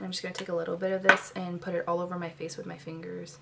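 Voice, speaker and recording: A soft-spoken woman at a medium pitch, with noticeable background noise. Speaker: beauty vlogger. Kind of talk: tutorial. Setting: bedroom at home.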